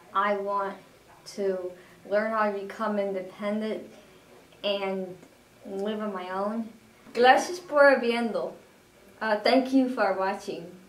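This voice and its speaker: Speaking very slowly in an American accent, a woman uses fairly even intonation and long, frequent pauses, with audible room echo around her. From Madison, Wisconsin area. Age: 20s. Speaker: job training student. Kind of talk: self-introduction video; video resume self-introduction. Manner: halting, repeats words. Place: home room. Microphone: camera far.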